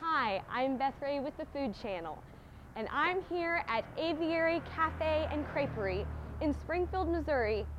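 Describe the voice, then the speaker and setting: A woman with a high pitch speaks at a fairly slow pace over light background noise. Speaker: TV food reporter. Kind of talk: presenter piece to camera. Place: street.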